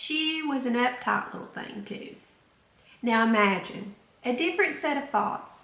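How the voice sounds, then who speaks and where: A woman's lively intonation at a moderate pace over noticeable background noise. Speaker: self-help podcaster. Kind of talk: self-help podcast monologue. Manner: conversational, reflective.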